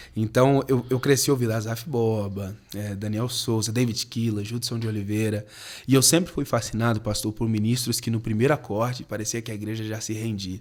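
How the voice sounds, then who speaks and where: At a moderate pace, a man with a medium pitch speaks in a plain, everyday voice with fairly even intonation. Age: 20s. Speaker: pastor and worship musician. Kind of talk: podcast interview.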